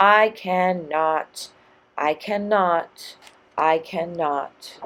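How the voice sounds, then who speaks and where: A woman speaks in a put-on character voice, fairly low-pitched, at a very slow pace. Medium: read story. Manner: tired, sighing.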